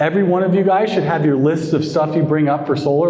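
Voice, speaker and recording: Amid noticeable background noise and audible room echo, a man with a fairly high pitch speaks in fairly even intonation. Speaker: sales coach. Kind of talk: training session Q&A.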